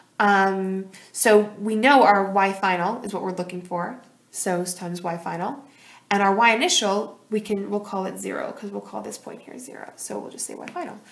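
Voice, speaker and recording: A woman at medium pitch with big swings in loudness and audible room echo. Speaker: high school physics teacher. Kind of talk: tutorial. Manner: fast; animated.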